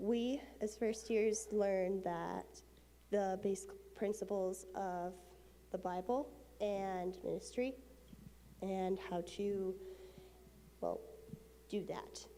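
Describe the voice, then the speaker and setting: A woman speaks very slowly, with long, frequent pauses and an audible echo from the room. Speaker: Bible college student. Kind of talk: prepared church announcement.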